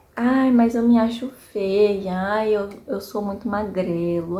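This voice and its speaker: This woman's voice sits at a medium pitch. Its rise and fall is ordinary. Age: 30s. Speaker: vlogger, small business owner. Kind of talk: personal reflection monologue. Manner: casual, conversational with fillers.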